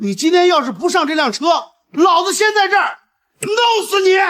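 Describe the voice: In a put-on character voice, a man speaks at an extremely high pitch with a fairly bright tone. His pitch swings a lot, and the pace is moderate.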